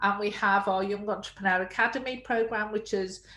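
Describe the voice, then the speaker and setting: A woman with a British accent speaks at a medium pitch with fairly even intonation. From UK. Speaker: early childhood education entrepreneur. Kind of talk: webinar interview.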